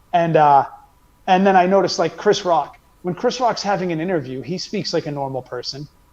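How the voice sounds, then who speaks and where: This man has a strong American accent. He talks fairly quickly at a high pitch. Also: ordinary pitch variation. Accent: heavy American. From United States. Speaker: comedian. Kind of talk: casual chat.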